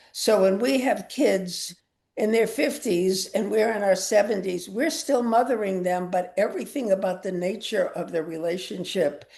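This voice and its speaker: A woman's medium-pitched voice with a dark, mellow tone, ordinary pitch variation and a moderate pace. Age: 80s+. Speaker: author. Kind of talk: author talk.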